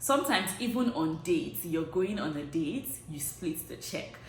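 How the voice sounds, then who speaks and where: Noticeable background noise and audible room echo fill the clip. The speaker talks with lively intonation in a Nigerian accent. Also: woman. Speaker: vlogger. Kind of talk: casual vlog talk. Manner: conversational, filler-heavy.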